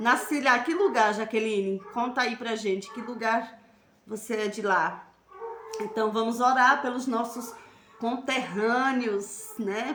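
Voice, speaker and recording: With a northeastern Brazilian accent, a woman speaks fairly slowly in an animated tone, her pitch fairly high with ordinary variation, amid audible room echo and noticeable background noise. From Northeast Brazil, near Garanhuns, Pernambuco. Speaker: evangelical live stream host. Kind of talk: religious live stream chat and exhortation. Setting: Facebook live stream.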